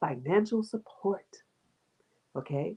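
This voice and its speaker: Heard in a dry, close sound with no echo, a woman speaks fairly slowly in a dark, mellow, somewhat breathy tone with very wide pitch swings. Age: 40s. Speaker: online workshop host. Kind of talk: online workshop talk.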